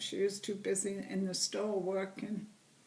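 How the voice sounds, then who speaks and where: A woman talks very slowly, with room echo and noticeable noise both audible around her. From England, Liverpool. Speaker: interviewee, great-grandmother. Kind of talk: family interview.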